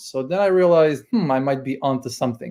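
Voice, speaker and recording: A man speaks with a strong Croatian accent in a very clean recording with a silent background. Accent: thick Croatian. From Croatia (Split). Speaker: email marketing consultant. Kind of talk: interview.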